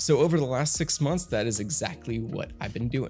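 Over faint background music, a man talks at a fairly quick pace. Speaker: tech reviewer. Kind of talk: product review commentary. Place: studio. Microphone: studio mic.

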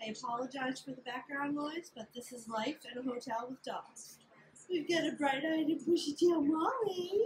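A woman's high-pitched voice comes through over light background noise. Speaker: vlogger. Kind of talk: casual vlog chat. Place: home room. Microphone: phone near.

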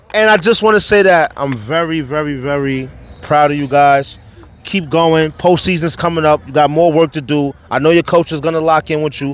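Speaking with a New York accent, a man has a fairly high pitch and ordinary pitch variation. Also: moderate pace. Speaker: youth sports podcast host. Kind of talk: post-game interview. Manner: animated.

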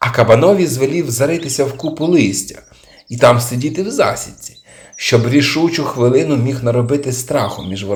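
What you hear is plain reading aloud.

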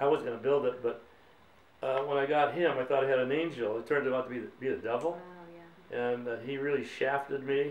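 With an American accent, a man speaks at a fairly quick pace and fairly even intonation. Room echo is audible. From Boston, Massachusetts. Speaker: war veteran. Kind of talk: interview answer. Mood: reflective, somber at times. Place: home room.

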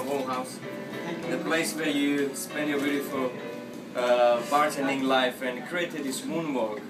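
With clear music in the background, a man speaks at a moderate pace. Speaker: bartender. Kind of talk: casual hosting talk to camera. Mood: warm, respectful. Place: bar.

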